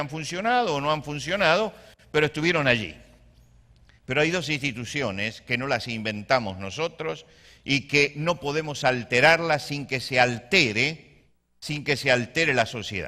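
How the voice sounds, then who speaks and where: A man speaks at a moderate pace in a bright, sharp tone, on a very clean recording with a silent background. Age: 60s. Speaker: pastor. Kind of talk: sermon. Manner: halting.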